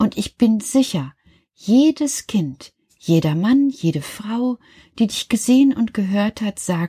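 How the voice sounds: A natural reading voice with lively intonation over a quiet background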